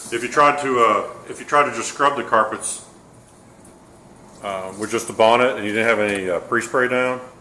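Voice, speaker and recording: A man with a slight Texas accent speaks with ordinary pitch variation. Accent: slight Texas drawl picked up. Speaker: carpet cleaner. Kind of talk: casual chat during tutorial demo. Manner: slurs words together.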